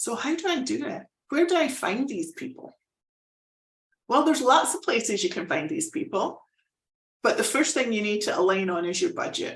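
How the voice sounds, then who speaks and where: A woman with a Scottish accent speaks at a moderate pace and a high pitch, her pitch swinging very widely between long, frequent pauses. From Scotland. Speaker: fractional executive, business consultant. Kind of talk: live presentation. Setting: live online presentation.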